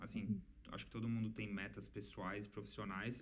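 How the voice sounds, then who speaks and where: Audible room echo surrounds a man with a fairly low pitch. His voice has vocal fry. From Brazil, São Paulo. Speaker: engineer and immigrant in Canada. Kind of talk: casual chat.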